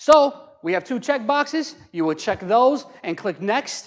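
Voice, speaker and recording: Loud and lively in intonation, a man speaks at a fairly slow pace. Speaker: county assessor's office outreach specialist. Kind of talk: public workshop presentation. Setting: hall with live audience.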